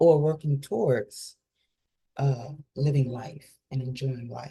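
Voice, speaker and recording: Very slowly and somewhat breathy, a woman speaks with a very deep, low pitch, a dark, mellow tone and fairly even intonation. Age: 50s. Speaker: holistic life coach. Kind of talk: casual monologue vlog.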